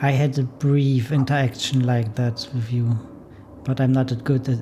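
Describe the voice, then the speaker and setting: A man with a German accent speaks at medium pitch. His delivery is fairly slow, with monotone, flat intonation. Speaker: visual novel collaborator. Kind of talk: casual chat.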